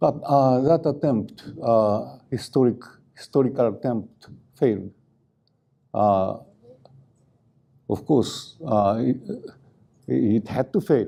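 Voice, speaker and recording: Very slow, dark and mellow speech from a man with a Japanese accent, medium pitch, ordinary pitch variation, very even loudness and long, frequent pauses. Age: 80s+. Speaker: activist scholar. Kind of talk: lecture. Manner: halting, many fillers.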